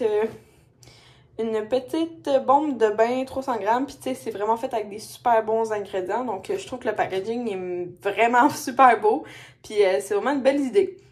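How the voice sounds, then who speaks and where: In a Quebec accent, a woman speaks with a fairly high pitch and lively intonation. Her pace is moderate. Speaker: lifestyle vlogger. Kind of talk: casual vlog talk to camera. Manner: hesitant, many fillers. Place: home room. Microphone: phone near.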